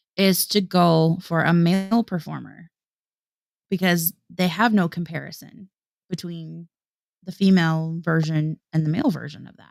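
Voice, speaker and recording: Fairly low in pitch, a woman with a Midwestern accent speaks at a moderate pace with fairly even intonation and big swings in loudness. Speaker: singer and livestream co-host. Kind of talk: casual chat. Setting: livestream.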